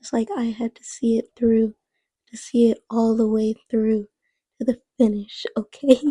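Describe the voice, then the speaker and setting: A soft-spoken woman with a fairly high pitch and a dark, mellow tone speaks in a monotone, flat way. The sound is dry and close with no echo, and her loudness swings a lot. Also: fairly slow pace. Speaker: art content creator. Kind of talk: casual draw-along narration. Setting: home, late at night. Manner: soft-spoken, very quiet. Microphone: too quiet.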